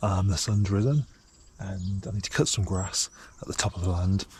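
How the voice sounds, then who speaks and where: Whispering and somewhat breathy, a man speaks at a fairly quick pace. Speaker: homesteader vlogger. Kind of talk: casual vlog narration. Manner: hesitant, many ums.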